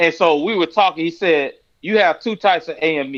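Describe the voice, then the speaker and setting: This man speaks with a Florida accent. His pace is fairly quick. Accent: Florida twang. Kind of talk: casual religious discussion.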